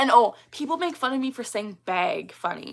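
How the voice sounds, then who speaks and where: This is a woman speaking. She has a slight Canadian accent. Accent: slight Canadian, mistaken for Minnesotan. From Canada. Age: 20s. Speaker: tic disorder awareness streamer. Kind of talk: casual livestream chat.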